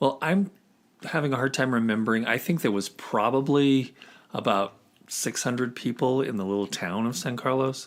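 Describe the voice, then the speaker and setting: A man's unremarkable speaking voice with ordinary pitch variation. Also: medium pitch for a man, moderate pace. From US Southwest (Arizona and Grants, New Mexico). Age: 60s. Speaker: podcast guest. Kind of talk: casual interview.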